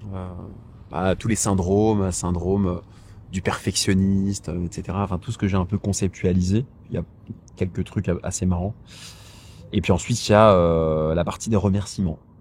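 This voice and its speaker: With long, frequent pauses, a man speaks at a moderate pace in a very deep, low voice with fairly even intonation. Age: 30s. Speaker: author and personal finance YouTuber. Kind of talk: casual vlog monologue. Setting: outdoors in a park. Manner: hesitant, many fillers and repetitions.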